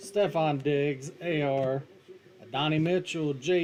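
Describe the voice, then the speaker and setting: A man with a strong West Virginian accent talks very slowly at a fairly high pitch with fairly even intonation, with noticeable noise in the background. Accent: thick West Virginian. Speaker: card break streamer. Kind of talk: live stream commentary. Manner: casual, joking.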